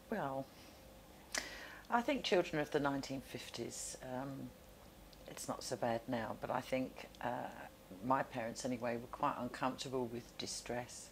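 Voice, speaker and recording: Her pitch very deep and low, a woman speaks at a moderate pace with fairly even intonation and long, frequent pauses. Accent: southern English. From South London. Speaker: oral history interviewee. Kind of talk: interview.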